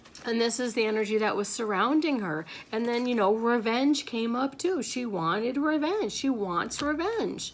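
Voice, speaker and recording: A woman with a fairly high pitch and lively intonation speaks at a moderate pace with hardly any pauses, amid audible room echo and noticeable background noise. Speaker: spiritual reader. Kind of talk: spiritual monologue. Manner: halting.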